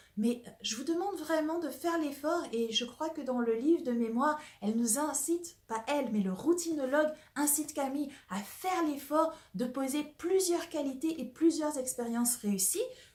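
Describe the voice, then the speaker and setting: Lively intonation in a woman's high voice. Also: moderate pace. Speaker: personal development coach. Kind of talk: casual talk to camera about a book. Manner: partly whispered, soft.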